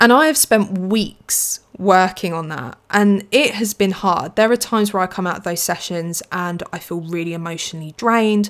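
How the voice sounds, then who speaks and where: This voice has a British accent and a moderate pace. Its loudness swings widely. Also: woman, medium pitch for a woman, ordinary pitch variation. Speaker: podcast host. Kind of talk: casual solo chat. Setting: home recording.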